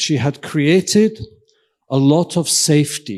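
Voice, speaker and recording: A man speaks in a fairly high pitch. The recording is very clean, with a silent background. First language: Welsh. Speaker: invited keynote speaker, professor and physician. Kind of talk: lecture. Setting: stage with audience. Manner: interactive, questioning the audience.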